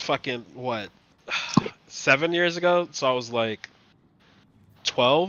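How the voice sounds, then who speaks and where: Noticeable background noise surrounds a man speaking at a very slow pace with long, frequent pauses. His medium-pitched voice carries lively intonation. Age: 20s. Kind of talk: casual chat while gaming. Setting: Discord voice chat.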